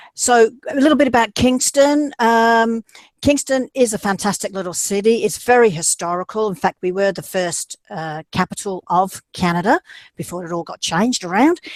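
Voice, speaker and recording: In a very clean recording with a silent background and a dry, close sound with no echo, a woman with an Australian accent speaks at a moderate pace at a fairly high pitch, with lively intonation and big swings in loudness. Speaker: university admissions representative. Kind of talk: presentation.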